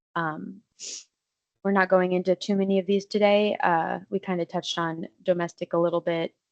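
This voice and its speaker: This is a woman speaking. Her pitch is medium. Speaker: legal aid attorney. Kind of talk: educational webinar presentation. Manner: fast; hesitant with frequent um fillers.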